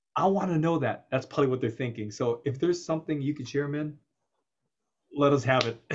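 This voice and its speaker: A man with an American accent talks at a fairly quick pace. His fairly high voice is somewhat breathy. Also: ordinary pitch variation. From United States. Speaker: show host and interviewer. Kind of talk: casual interview. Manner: animated. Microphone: video call.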